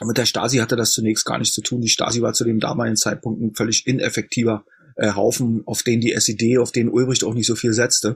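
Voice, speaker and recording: Somewhat breathy and very fast, a man speaks at medium pitch in a monotone, flat intonation. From East Berlin, Germany. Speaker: historian. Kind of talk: interview.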